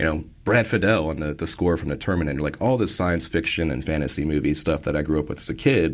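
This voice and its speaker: A man's very deep, low voice with vocal fry and an American accent, delivered at a very fast pace with hardly any pauses and ordinary pitch variation, on a very clean recording with a silent background. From Maryland. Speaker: electronic musician. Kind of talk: casual interview. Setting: studio. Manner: casual, conversational.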